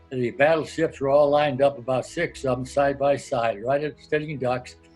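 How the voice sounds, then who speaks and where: Music plays in the background as a man talks at a moderate pace. His fairly high pitch holds a fairly even intonation. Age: 90s. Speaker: World War II Navy veteran. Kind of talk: interview answer.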